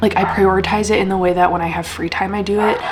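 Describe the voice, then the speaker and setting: Noticeable background noise sits behind a woman's voice. She speaks at medium pitch with fairly even intonation. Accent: American. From Wisconsin. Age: 30s. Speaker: vlogger and healthcare worker. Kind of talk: casual vlog monologue.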